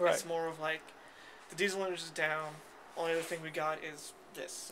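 Noticeable background noise runs under a man speaking at a fairly quick pace. His pitch is high and his intonation monotone and flat. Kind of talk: interview answer. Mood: relaxed, proud of engine. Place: train. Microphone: phone near.

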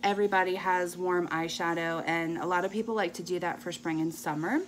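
A woman talks at a moderate speed with light background noise behind her. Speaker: beauty vlogger. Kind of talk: casual makeup tutorial chat. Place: home room. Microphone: phone near.

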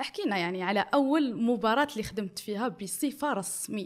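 A woman with an Algerian accent speaks at a moderate pace and fairly high pitch. Her pitch variation is ordinary. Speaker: interviewer. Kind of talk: interview. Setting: studio. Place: studio. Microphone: studio mic.

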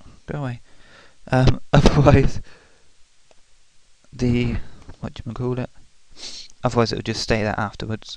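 A man speaks at a moderate pace with long, frequent pauses. His loudness swings widely, and his intonation stays monotone and flat. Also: medium pitch for a man. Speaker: video editing tutorial maker. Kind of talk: screen-recorded software tutorial. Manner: sheepish, hesitant.

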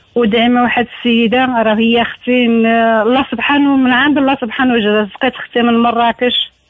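At a moderate pace and with hardly any pauses, a woman speaks in a high, monotone voice with flat intonation. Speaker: caller. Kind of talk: phone-in request for prayers.

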